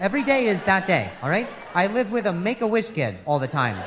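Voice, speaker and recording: Over noticeable background noise and audible room echo, a man speaks at a fairly quick pace with a high pitch. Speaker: stand-up comedian. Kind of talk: stand-up.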